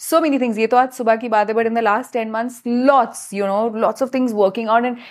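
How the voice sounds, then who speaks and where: A woman's fairly high voice at a very fast pace with fairly even intonation, on a very clean recording with a silent background. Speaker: biohacker and wellness coach. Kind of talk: casual interview conversation.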